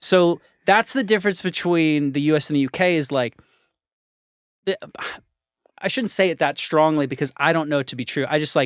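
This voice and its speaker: A man with a Californian accent and a fairly high pitch, ordinary pitch variation, a fairly quick pace with long, frequent pauses, in a dry, close sound with no echo on a very clean recording with a silent background. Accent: Californian American English. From US, San Diego, California. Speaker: podcast host. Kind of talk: casual interview chat.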